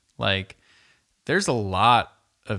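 At a very slow pace, a man with a Californian accent speaks with a bright, sharp tone, a fairly low pitch and ordinary pitch variation, in a very clean recording with a silent background. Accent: Californian American English. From San Francisco Bay Area. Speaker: podcast co-host, food industry worker. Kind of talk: casual chat.

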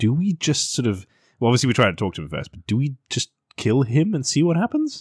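In a very clean recording with a silent background and a dry, close sound with no echo, a somewhat breathy man at a medium pitch talks at a very fast pace with very wide pitch swings. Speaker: podcast host. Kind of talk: casual banter podcast.

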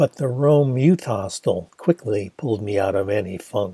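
At a moderate pace, a man speaks in a dark, mellow tone. His voice is somewhat breathy. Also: dry, close sound with no echo. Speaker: audiobook narrator and author. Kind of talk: literary audiobook reading of a memoir novel. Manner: measured, storytelling narration, with attempted Australian-accent character voices.

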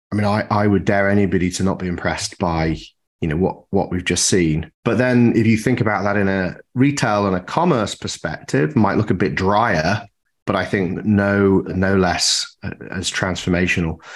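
A man speaks in an ordinary speaking voice at a fairly low pitch, with ordinary pitch variation. The recording is very clean, its background silent. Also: moderate pace. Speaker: podcast host. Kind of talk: casual interview chat.

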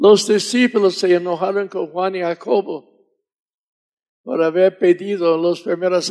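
Speaking with an English accent, a man talks at a fairly slow pace, high in pitch with fairly even intonation. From US South. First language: English (speaking Spanish). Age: 80s+. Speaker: missionary preacher. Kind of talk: sermon.

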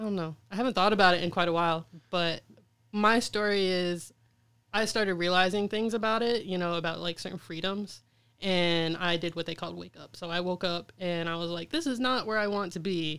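Over a silent background in a very clean recording, a woman with a plain, everyday voice talks fairly quickly at a medium pitch, with an American accent and fairly even intonation. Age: 20s. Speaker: artist. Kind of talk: interview.

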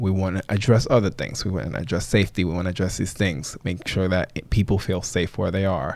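A man speaks with a very deep, low pitch and ordinary pitch variation. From Bronx, New York and Dominican Republic. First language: Spanish. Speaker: PE teacher and property owner. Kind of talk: casual interview.

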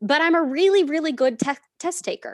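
In an American accent, a woman speaks with an animated tone at a moderate pace, in a very clean recording with a silent background and a dry, close sound with no echo. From Southern California. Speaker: learning and development professional. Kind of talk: casual chat.

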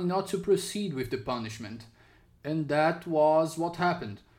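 This man talks with a Portuguese accent and lively intonation. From Brazil. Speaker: podcast host. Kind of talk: interview. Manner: halting.

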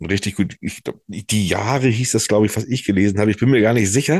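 Against a quiet background, a man with a fairly low pitch talks at a very fast pace with ordinary pitch variation, the sound dry and close with no echo. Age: 40s. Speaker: podcast co-host. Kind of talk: casual chat. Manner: halting, many fillers.

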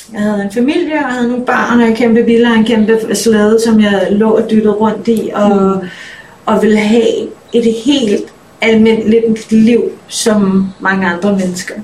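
A woman with a fairly high pitch speaks at a fairly slow pace and with fairly even intonation. Audible room echo and noticeable background noise are present. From Denmark. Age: 30s. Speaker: musician. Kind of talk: interview.

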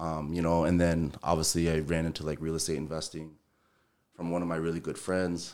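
A man with an American accent speaks at a fairly quick pace in a very deep, low voice and a flat monotone, on a very clean recording with a silent background. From Minnesota, US. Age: 40s. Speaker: entrepreneur, general contractor. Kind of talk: casual interview chat.

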